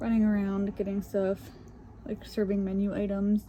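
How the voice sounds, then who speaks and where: A woman is speaking. Her pace is fairly slow. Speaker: gaming YouTuber. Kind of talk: casual chat. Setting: home, filming on bed.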